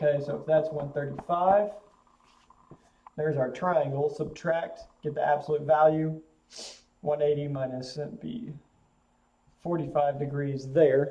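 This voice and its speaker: A man with a fairly high voice speaks at a fairly slow pace with fairly even intonation and long, frequent pauses, in a room with audible echo. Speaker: math teacher. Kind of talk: lecture.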